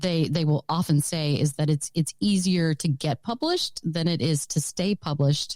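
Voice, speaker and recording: On a very clean recording with a silent background and a dry, close sound with no echo, a woman of fairly low pitch speaks at a moderate pace with ordinary pitch variation. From Texas. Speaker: novelist. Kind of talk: interview. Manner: halting, many repeated words.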